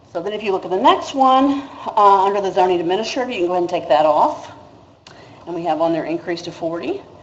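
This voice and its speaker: Through audible room echo and noticeable background noise, a woman talks at a fairly quick pace. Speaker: city staff presenter. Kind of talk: council budget presentation. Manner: fast.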